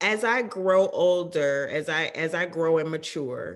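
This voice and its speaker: Her pitch variation is ordinary. This woman speaks very slowly. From US South, Georgia. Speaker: film and television director. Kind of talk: interview.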